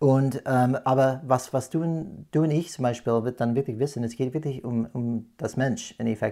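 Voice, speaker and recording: A man's dark, mellow voice with an American accent and ordinary pitch variation, on a very clean recording with a silent background. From California, USA, then moved abroad often. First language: English (speaking German). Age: 40s. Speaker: podcast host, change management consultant. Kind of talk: casual chat. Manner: hesitant, many fillers.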